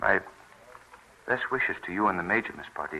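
A man puts on a character voice, low in pitch with a bright, sharp tone. Vocal fry and lively intonation run through it. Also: moderate pace.

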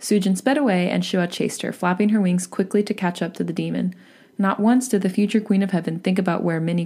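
The reading here comes across as unforced.

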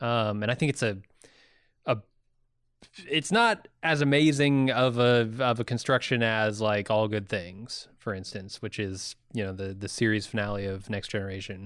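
Recorded very cleanly against a silent background, a man with an American accent talks at a moderate pace in an unremarkable speaking voice with ordinary pitch variation. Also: fairly low pitch for a man. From US (California, then Indiana). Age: 30s. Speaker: podcast co-host. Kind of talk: casual chat.

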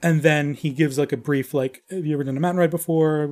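A man with an American accent speaks at a fairly quick pace in a fairly high pitch, his tone dark and mellow. The intonation stays fairly even, and the recording is very clean with a silent background. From Long Island, New York. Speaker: ranch wrangler and musician. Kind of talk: casual chat.

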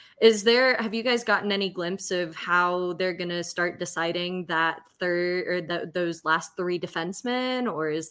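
With an American accent, a woman speaks at a fairly slow pace in a fairly low pitch, her tone bright and sharp and her intonation fairly even. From North Carolina, Clayton area. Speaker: podcast co-host. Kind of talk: casual chat; read sponsor ad.

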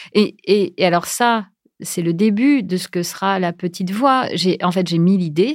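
A woman at medium pitch with ordinary pitch variation on a very clean recording with a silent background. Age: 40s. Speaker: podcast creator. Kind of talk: casual interview chat. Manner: hesitant with many fillers and repetitions.

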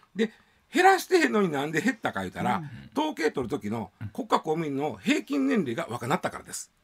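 At a very fast pace, a man with a fairly high pitch and vocal fry makes very wide pitch swings and big swings in loudness. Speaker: news commentator. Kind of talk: radio news commentary. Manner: casual, hesitant fillers.

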